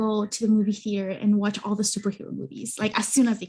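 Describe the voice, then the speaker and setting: A woman with a Spanish accent and a somewhat breathy voice. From Mexican-American, US. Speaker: therapist and psychology content creator. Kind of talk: podcast interview. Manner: halting, many fillers.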